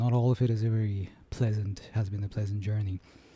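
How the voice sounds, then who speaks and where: A man talks at a moderate pace with medium pitch and ordinary pitch variation. His tone is dark and mellow, and somewhat breathy. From London. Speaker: podcast host and musician. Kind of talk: interview conversation.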